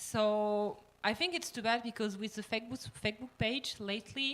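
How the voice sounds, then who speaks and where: A woman with a French accent and a fairly high pitch. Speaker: cosplayer panelist. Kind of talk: panel discussion. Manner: halting, many fillers.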